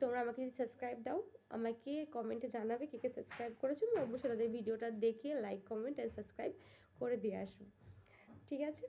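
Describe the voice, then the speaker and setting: A woman speaks at a high pitch with a dark, mellow tone. Her intonation stays fairly even. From West Bengal, Purba Bardhaman (near Katwa). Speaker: social media vlogger. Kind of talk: casual vlog talk to camera. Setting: lying in bed under a quilt at home.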